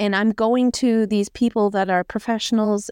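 Recorded very cleanly with a silent background and a dry, close sound with no echo, a woman speaks at a medium pitch and moderate pace with monotone, flat intonation. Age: 40s. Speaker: military veteran. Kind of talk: personal testimony in casual chat.

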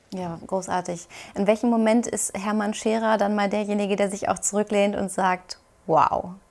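At a medium pitch and a moderate pace, a woman talks with fairly even intonation. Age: young. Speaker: TV presenter and interviewer. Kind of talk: interview.

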